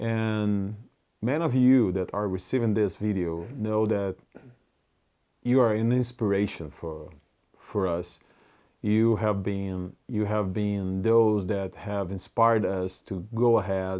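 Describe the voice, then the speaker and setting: The speaker has a Brazilian Portuguese accent and a dark, mellow tone, with fairly even intonation. The pace is very slow against a quiet background. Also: man, fairly low pitch for a man. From Brazil (Curitiba). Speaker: community leader. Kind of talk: personal video update to supporters. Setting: recorded video message. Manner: halting, with self-corrections.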